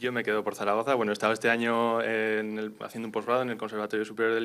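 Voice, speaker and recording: A man rushes along very fast in a fairly low voice. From Tarazona, Aragon, Spain. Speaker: wind musician. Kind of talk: interview. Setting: auditorium with live audience.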